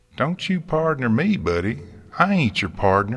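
A man puts on a character voice in a Southern US accent, at medium pitch with big pitch swings and a moderate pace. His tone is fairly bright with a slightly husky edge. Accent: put-on rural American Southern.

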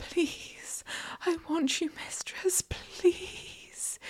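A woman whispers in a put-on character voice. Her pace is very slow.

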